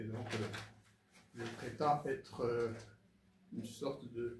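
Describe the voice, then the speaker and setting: Speaking very slowly, a man uses a medium pitch. Noticeable background noise and audible room echo fill the recording. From Rwanda. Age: 70s. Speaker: former ambassador. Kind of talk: interview testimony. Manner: hesitant, many fillers.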